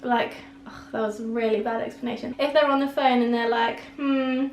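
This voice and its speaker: With a British accent, a woman talks at a fairly slow pace in a fairly high pitch. Her intonation is monotone and flat, and room echo is audible. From England. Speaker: vlogger. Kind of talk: casual chat.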